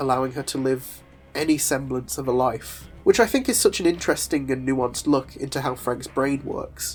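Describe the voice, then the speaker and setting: The pace of speech is moderate. Behind it, music is playing. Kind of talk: comic book video essay narration.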